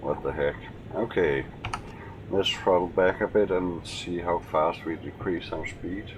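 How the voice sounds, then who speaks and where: A man's very deep, low voice in a Danish accent, with noticeable background noise. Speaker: gaming youtuber. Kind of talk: gameplay commentary. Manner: casual, with hesitations.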